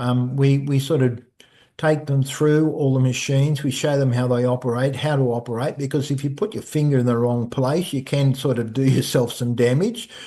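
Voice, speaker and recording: Against a quiet background, a man with an Australian accent speaks at a medium pitch and a moderate pace in a dark, mellow tone. His intonation is fairly even and his loudness very even. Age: 60s. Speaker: personal trainer. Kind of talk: casual interview chat. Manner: halting, repeats words.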